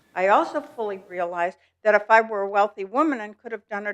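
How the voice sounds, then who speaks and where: At a fairly quick pace, a woman talks with a medium pitch and ordinary pitch variation. Hers is an unremarkable speaking voice. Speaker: resident speaking at public comment. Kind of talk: public comment at board meeting.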